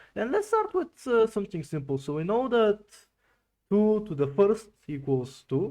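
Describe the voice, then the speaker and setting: With a non-native accent, a man speaks at a moderate pace in a high pitch and a dark, mellow tone, his pitch swinging very widely. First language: not English. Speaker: fighting game content creator. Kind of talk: video essay tutorial. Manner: casual, animated.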